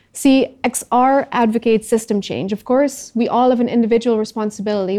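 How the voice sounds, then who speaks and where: Flat, monotone delivery from a woman with a dark, mellow tone, fairly high pitch and moderate pace. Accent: Dutch. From Netherlands. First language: Dutch. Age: 30s. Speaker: climate activist. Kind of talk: talk to audience.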